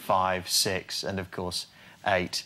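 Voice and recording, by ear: A man puts on a character voice, low and slow. The tone is bright and sharp, with a flat, monotone delivery.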